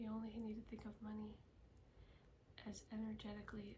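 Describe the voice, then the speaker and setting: The speaker is soft-spoken. Noticeable background noise runs underneath. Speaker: Reiki healer. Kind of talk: ASMR healing session.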